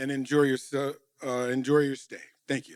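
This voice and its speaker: A man's fairly high, monotone, flat delivery at a moderate pace, on a very clean recording with a silent background. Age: 60s. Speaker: union official. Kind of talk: welcome speech.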